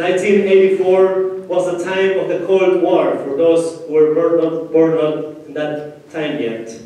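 Speaking at a very slow pace, a man with a high pitch is heard in strong room echo. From Peru, Ayacucho region. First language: Spanish. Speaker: pastor. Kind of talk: sermon. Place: church.

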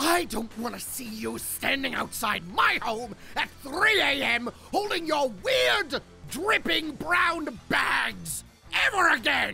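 Fairly slow delivery over clear background music. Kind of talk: comic overacting. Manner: boastful, then screaming in rage.

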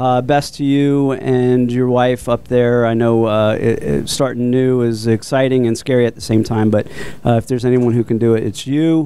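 An unremarkable speaking voice, this man talks with an American accent at a medium pitch and moderate pace, with fairly even intonation, hardly any pauses and a dry sound with no echo. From Florida, Port Orange; Florida. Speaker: brewery owner; radio show guest or host. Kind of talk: casual chat. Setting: studio. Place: studio. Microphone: handheld.

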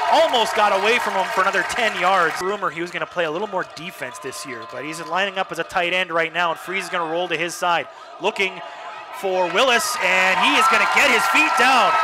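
A man's raised, projected voice at a high pitch and very fast pace, with crowd noise in the background. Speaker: radio play-by-play announcer. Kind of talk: live sports commentary, play-by-play. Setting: radio broadcast. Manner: rapid-fire, excitable on touchdowns; clipped, fluent play-by-play delivery.

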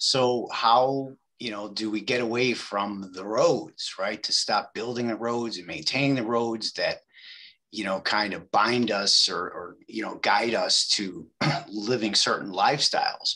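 A man's bright, sharp voice with a Chicago accent, fairly slow pace, ordinary pitch variation and a quiet background. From Chicago, Back of the Yards. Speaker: meeting attendee. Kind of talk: debate. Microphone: video call.

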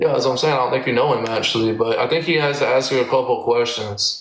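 With an American accent, a man talks at a medium pitch and a fairly quick pace, his intonation fairly even, in a room with audible echo. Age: 30s. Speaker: live streamer. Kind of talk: trash-talk live stream battle. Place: home room. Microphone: phone near.

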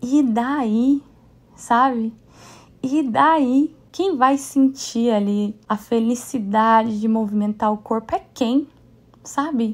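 With ordinary pitch variation, the speaker delivers words at a very slow pace. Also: woman, high pitch for a woman. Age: 30s. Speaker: podcast host and dance class owner. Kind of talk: casual solo monologue.

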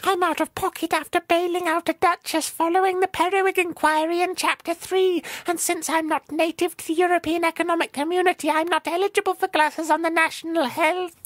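This put-on character voice sits at an extremely high pitch with monotone, flat intonation and a fairly quick pace. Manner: haughty, peevish.

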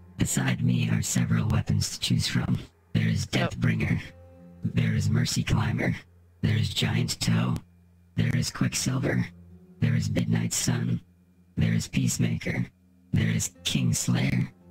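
Over faint background music, a man puts on a character voice with a very deep, low pitch at a moderate pace. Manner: formal, flat, ritual speech like a programmed machine.

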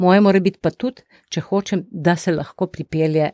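The recording is very clean, with a silent background and a dry, close sound with no echo. A woman speaks at a medium pitch in a dark, mellow tone with ordinary pitch variation. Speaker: retired doctor and family organization founder. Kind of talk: interview.

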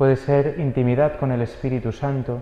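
With a Spanish accent, a man speaks at medium pitch in a monotone, flat intonation. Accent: Spain Spanish. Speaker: priest giving a homily. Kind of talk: homily preaching. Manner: earnest, exhortative; steady, didactic, rhetorical repetition.

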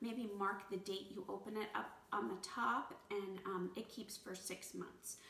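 Over light background noise and an audible room echo, a woman speaks at a fairly slow pace with fairly even intonation. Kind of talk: tutorial. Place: kitchen. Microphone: camera far.

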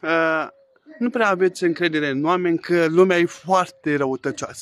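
In a quiet setting, a man is talking. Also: dry sound with no echo. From Romania. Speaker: vlogger. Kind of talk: angry rant, indignant vlog complaint. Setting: outdoors. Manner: indignant, agitated, emphatic. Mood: earnest, a bit aggrieved. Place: garden. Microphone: phone near.

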